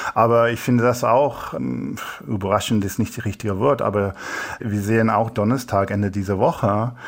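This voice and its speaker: In an English accent, a man speaks at a fairly low pitch with fairly even intonation. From England. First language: English (speaking German). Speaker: human rights researcher. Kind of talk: interview answers. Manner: halting.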